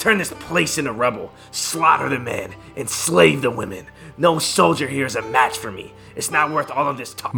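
Clear music plays in the background. Over it, a man speaks at a moderate pace and medium pitch. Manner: cocky, threatening, contemptuous.

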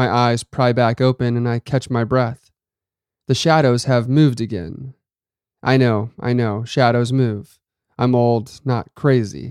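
In a very clean recording with a silent background, a man speaks in a plain, everyday voice at a fairly slow pace, with ordinary pitch variation and a dry, close sound with no echo. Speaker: horror story podcast host and narrator. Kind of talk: scripted narration of a horror story.

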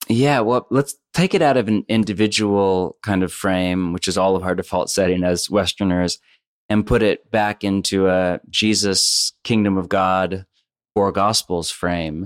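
A man with a West Coast American accent speaks fairly slowly in a fairly low pitch and fairly even intonation, the sound dry and close with no echo, on a very clean recording with a silent background. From US West Coast, Bay Area. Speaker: pastor and author. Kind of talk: interview.

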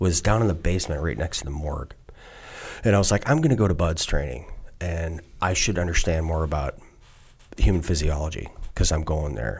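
Talking at a fairly quick pace with an American accent, a man uses a very deep, low pitch with vocal fry. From US Midwest, southeastern Wisconsin. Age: 50s. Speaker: retired navy special forces, congressional candidate. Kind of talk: long-form interview, casual chat. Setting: studio. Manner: animated.

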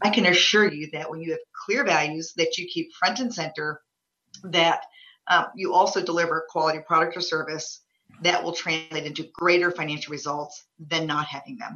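A normal speaking voice moves at a moderate pace with ordinary pitch variation and big swings in loudness. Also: woman, fairly low pitch for a woman. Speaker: business executive. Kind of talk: interview.

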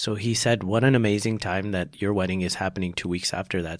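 A man with a very deep, low pitch speaks at a fairly quick pace in an American accent, with ordinary pitch variation, on a very clean recording with a silent background. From Texas. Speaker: doctor. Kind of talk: casual interview.

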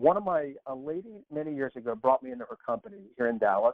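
A man with an American accent speaks in an unremarkable speaking voice at a fairly quick pace, his medium pitch showing ordinary pitch variation. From Texas. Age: 50s. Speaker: personal transformation coach. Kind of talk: interview conversation.

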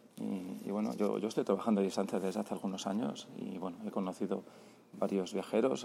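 A man talks at a fairly quick pace in a fairly low pitch with ordinary pitch variation. His tone is dark and mellow, with vocal fry. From Spain, Barcelona. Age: 40s. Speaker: travel podcaster. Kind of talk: voice note diary. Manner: halting, many repetitions.

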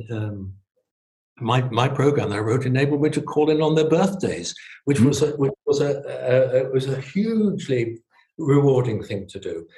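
Speaking with a southern English accent, a man with a fairly high pitch and a dark, mellow, somewhat breathy tone moves at a moderate pace with lively intonation. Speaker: retired family doctor. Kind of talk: interview. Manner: halting.

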